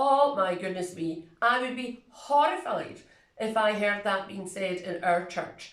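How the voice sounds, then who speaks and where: A woman of medium pitch speaks very slowly in a Scottish accent, with ordinary pitch variation. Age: 60s. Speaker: retiring church minister. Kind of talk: video reflection.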